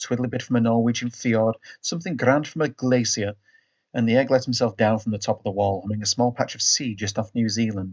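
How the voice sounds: A natural reading voice with fairly even intonation. The background is quiet.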